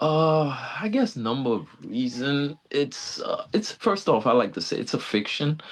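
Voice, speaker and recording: A man speaks at a fairly slow pace with very wide pitch swings. Noticeable background noise can be heard. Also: fairly high pitch for a man. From Haiti. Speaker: filmmaker and author. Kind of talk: casual interview. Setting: video call.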